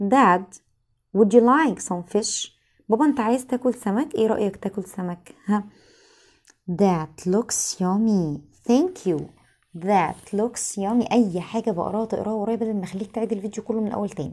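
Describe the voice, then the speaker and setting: A woman's fairly high voice at a moderate pace, with ordinary pitch variation and a quiet background. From Egypt. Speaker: English teacher. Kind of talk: lesson. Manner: repetitive, drilling phrases aloud. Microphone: phone near.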